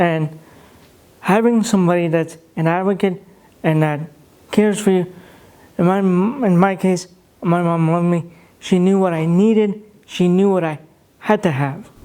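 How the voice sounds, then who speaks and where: Long, frequent pauses break up speech at a moderate pace. The tone is dark and mellow, with an American accent. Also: man, high pitch for a man. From Russia. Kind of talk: interview. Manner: quiet, low volume.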